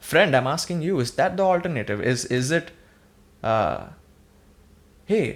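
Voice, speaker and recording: A man's fairly high voice with vocal fry and very wide pitch swings, fairly slow in pace, on a very clean recording with a silent background. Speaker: podcaster. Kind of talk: solo podcast monologue. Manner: slurring; hesitant, repetitive.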